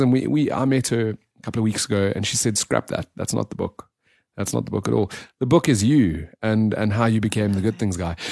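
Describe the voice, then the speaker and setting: A man speaks fairly quickly. Behind him, things stay quiet. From South Africa, south of Johannesburg. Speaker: blogger sharing good news stories. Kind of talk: interview. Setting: studio. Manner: halting.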